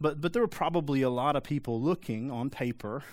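A man talks fairly quickly with ordinary pitch variation, captured in a very clean recording against a silent background. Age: 30s. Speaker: pastor. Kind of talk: sermon. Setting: church. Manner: animated.

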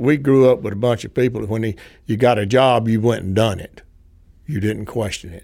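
Speaking with a Southern US accent, a man has a dark, mellow tone, medium pitch, fairly even intonation, a fairly quick pace and big swings in loudness. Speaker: former civilian range worker. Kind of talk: interview.

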